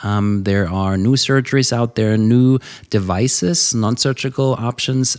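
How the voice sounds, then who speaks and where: A man with a German accent at a fairly slow pace. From Germany. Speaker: ENT surgeon. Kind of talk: interview answer. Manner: energetic.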